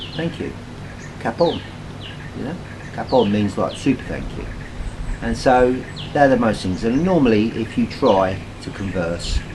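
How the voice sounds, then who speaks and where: In a British accent, the speaker uses a relaxed tone at a moderate pace with ordinary pitch variation. Noticeable background noise and audible room echo fill the recording. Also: man. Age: 60s. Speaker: retiree vlogger. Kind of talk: casual vlog talk to camera. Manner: relaxed, hesitant with many fillers.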